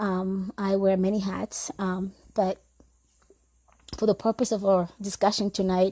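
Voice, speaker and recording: At a fairly slow pace with long, frequent pauses, a woman speaks in a medium-pitched, dark, mellow voice with monotone, flat intonation, recorded with a dry, close sound and no echo. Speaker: mental health counselor. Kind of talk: live stream talk. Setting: live video stream with headphones. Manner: uneven pitch, voice going up and down.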